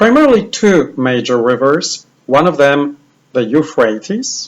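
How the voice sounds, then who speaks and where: A man with a Polish accent and fairly high pitch talks at a fairly slow pace, his pitch swinging very widely. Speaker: bible teacher. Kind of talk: lecture.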